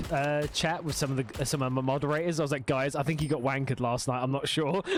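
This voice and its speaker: Over noticeable background noise, a man with a fairly high pitch talks at a very fast pace with fairly even intonation. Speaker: gaming streamer and interviewer. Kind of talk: casual chat while gaming.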